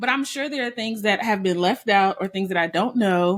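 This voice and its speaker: With lively intonation and a medium pitch, a woman speaks in a plain, everyday voice. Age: 30s. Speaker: podcast host. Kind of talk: casual interview chat.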